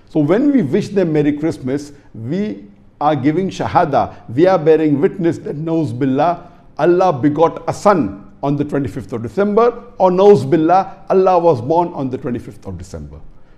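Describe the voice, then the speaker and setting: A man talks at a fairly high pitch with lively intonation. There is noticeable background noise. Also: moderate pace. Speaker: Islamic scholar giving a religious lecture answer. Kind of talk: religious lecture / question-and-answer talk. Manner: explanatory, lecturing.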